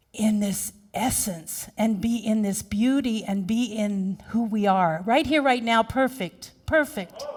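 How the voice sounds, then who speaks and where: A woman speaks in a fairly high, somewhat breathy voice with an animated tone. Her pace is fairly slow, and the recording is very clean with a silent background. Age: 50s. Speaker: minister. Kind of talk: sermon.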